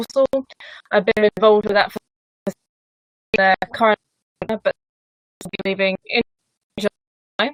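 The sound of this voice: A woman speaks slowly at a medium pitch, with little pitch movement, long and frequent pauses, and a dry, close sound with no echo.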